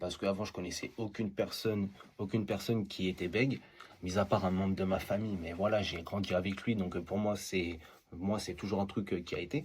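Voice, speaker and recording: A man, somewhat breathy, at a fairly quick pace with fairly even intonation. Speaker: TikTok creator. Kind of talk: interview answer.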